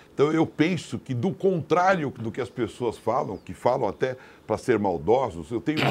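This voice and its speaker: A man is speaking. His pitch swings very widely. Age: 60s. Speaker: mayoral candidate and businessman. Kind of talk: political interview.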